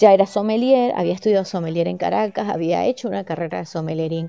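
Fairly low-pitched female speech, dark and mellow in tone. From Venezuela, Mérida (Andes). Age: 40s. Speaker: podcast host, sommelier. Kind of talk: solo podcast monologue.

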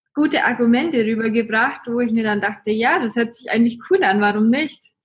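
The pitch of this woman's voice is high. She talks at a moderate pace. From Germany, Augsburg (Bavarian Swabia). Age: 20s. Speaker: travel blogger. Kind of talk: casual interview.

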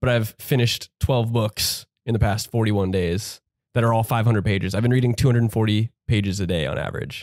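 Fairly quick pace from a man, a normal speaking voice, fairly low in pitch with ordinary pitch variation, dry, close sound with no echo. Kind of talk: casual chat.

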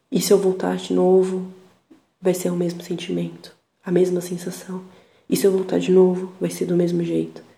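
A woman keeps a medium tempo as audible echo from the room surrounds her words. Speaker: podcaster. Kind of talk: personal monologue. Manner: reflective.

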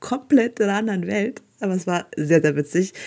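A woman with a fairly low pitch speaks in an animated tone at a moderate pace, with ordinary pitch variation. The recording is very clean, with a silent background. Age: 30s. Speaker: podcast host. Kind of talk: casual monologue storytelling.

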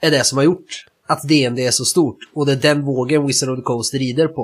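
At a moderate pace, a man talks in an ordinary speaking voice. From Sweden. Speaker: tabletop roleplaying game podcast co-host. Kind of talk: casual chat.

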